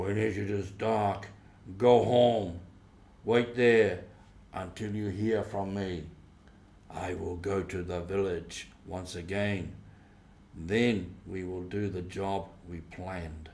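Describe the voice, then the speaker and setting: A man's put-on character voice with fairly low pitch, a very slow pace, long, frequent pauses, fairly even intonation and audible echo. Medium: read story. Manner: domineering, contemptuous.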